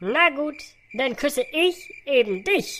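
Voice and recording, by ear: In a put-on character voice, the speaker uses a high pitch with very wide pitch swings at a fairly slow pace.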